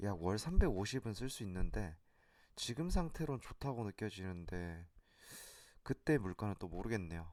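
A man speaks at a very slow pace in a fairly low pitch, his voice making very wide pitch swings. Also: very clean recording, silent background. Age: 30s. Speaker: amateur stock investor, vlogger. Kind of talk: personal vlog monologue.

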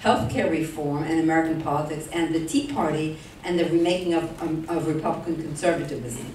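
A woman talks at a fairly quick pace with a fairly low pitch. The room echo is audible, and there is light background noise. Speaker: speaker. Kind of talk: formal introduction. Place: hall.

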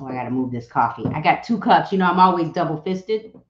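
A woman speaks with a fairly low pitch. Room echo is audible around her voice. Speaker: livestream host, real estate coach. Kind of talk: casual livestream chat. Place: home room.

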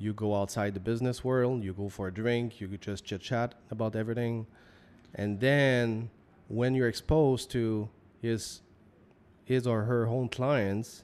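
Using fairly even intonation, a man with a Quebec accent and medium pitch talks at a fairly slow pace in a very clean recording with a silent background. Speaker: business co-founder. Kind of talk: casual chat.

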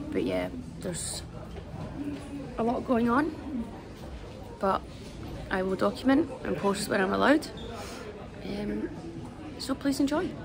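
A woman's fairly slow speech with long, frequent pauses over noticeable background noise. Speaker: athlete vlogger. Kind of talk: casual vlog chat. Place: station. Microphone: phone near.

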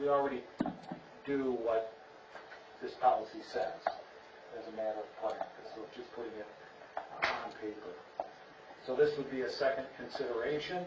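A man talks at a moderate pace with long, frequent pauses. Loud background noise fills the recording. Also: ordinary pitch variation. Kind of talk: meeting agenda briefing. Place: meeting room. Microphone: camera far.

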